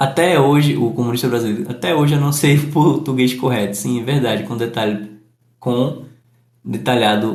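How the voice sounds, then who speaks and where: Audible room echo follows a man who speaks at a moderate pace with a medium pitch. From Northeast Brazil. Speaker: English teacher. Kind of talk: live stream chat. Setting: live stream. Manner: aiming for neutral journalistic diction.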